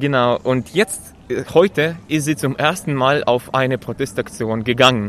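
With a Russian accent, a man talks at a fairly slow pace. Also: medium pitch for a man, ordinary pitch variation. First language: Russian (speaking German). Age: 20s. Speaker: protester, trainee lab technician. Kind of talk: street interview. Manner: halting, many fillers.

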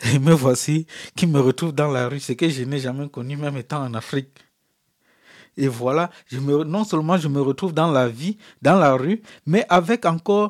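Recorded very cleanly against a silent background, this man speaks at a fairly slow pace with a fairly high pitch, ordinary pitch variation and a dry, close sound with no echo. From Africa. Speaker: refugee. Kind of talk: interview testimony. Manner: halting.

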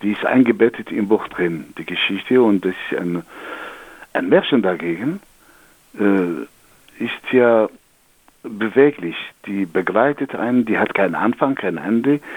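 Speaking at a fairly slow pace with long, frequent pauses, a man with an Algerian accent has a fairly low pitch. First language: Algerian Arabic (speaking German). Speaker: storyteller. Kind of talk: storytelling; interview. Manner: halting.

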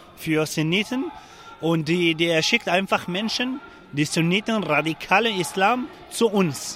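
A man speaks with a Kurdish accent and a high pitch. Noticeable background noise is present. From Syria, Afrin region (Kurdish). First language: Kurdish (speaking German). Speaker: refugee protester. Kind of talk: interview. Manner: halting.

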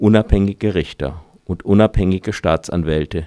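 A man's fairly low voice with a dark, mellow tone at a moderate pace, dry and close with no echo, on a very clean recording with a silent background. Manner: dramatic storyteller delivery, dry and ironic, mock-solemn.

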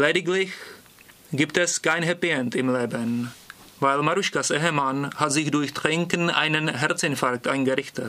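Over noticeable background noise, a man with a Czech accent speaks at a fairly slow pace with a fairly high pitch. His loudness stays very even and his pitch varies in an ordinary way. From Prague, Czech Republic. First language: Czech (speaking German). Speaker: language student. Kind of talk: reading aloud.

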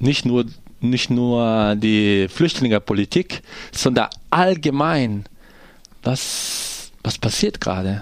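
With a Portuguese accent, a man at a medium pitch speaks at a very slow pace with lively intonation and long, frequent pauses. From Brazil, poor neighborhood. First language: Portuguese (speaking German). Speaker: theatre actor and director. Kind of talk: radio interview.

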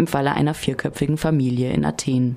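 A woman speaks with fairly even intonation. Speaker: news reader. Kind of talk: newsreading. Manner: formal.

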